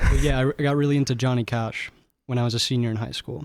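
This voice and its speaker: The recording is very clean, with a silent background and a dry, close sound free of echo. A man speaks with fairly even intonation. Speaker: singer-songwriter. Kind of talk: interview. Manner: soft-spoken.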